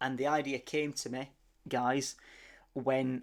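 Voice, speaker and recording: A man with a Sheffield accent speaks at a medium pitch and a very slow pace, his intonation monotone and flat. The recording is very clean, with a silent background. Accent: Yorkshire (Sheffield). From Sheffield, northern England. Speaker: motorcycle vlogger. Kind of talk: voice-over narration of ride video. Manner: halting, many fillers and repeats.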